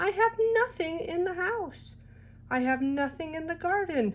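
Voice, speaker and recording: A woman's put-on character voice, extremely high in pitch with very wide pitch swings, at a moderate pace. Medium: read story.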